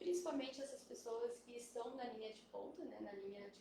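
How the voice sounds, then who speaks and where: A soft-spoken woman with a high pitch, lively intonation and a fairly quick pace, plus audible room echo. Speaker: biologist. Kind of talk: live stream panel talk. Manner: hesitant, many fillers. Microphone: quiet at first, mic moved.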